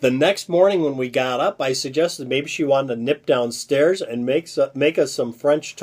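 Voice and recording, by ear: Someone reads aloud in a natural voice.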